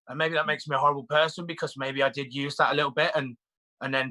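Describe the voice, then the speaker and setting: A man with a British accent speaks in a fairly high pitch, his tone bright and sharp and his intonation monotone and flat. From UK, Irish family. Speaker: reality TV contestant. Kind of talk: interview. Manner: halting.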